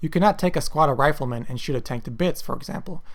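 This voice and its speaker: Someone speaks at a very fast pace. The words come out mumbled. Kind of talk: games history retrospective narration. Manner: mumbling.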